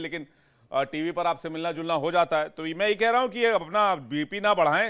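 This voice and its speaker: Recorded very cleanly against a silent background, a man with a high pitch speaks in an animated tone at a moderate pace, with ordinary pitch variation. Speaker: TV news anchor. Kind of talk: heated debate.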